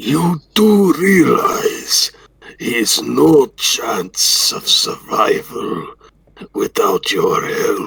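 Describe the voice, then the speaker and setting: A raspy put-on character voice from a man at a very slow pace. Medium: game stream. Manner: sneering.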